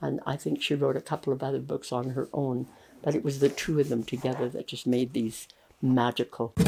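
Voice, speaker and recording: Very deep and low, a woman's voice carries vocal fry, fairly even intonation and a moderate pace. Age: 80s. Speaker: author. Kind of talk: casual talk to camera.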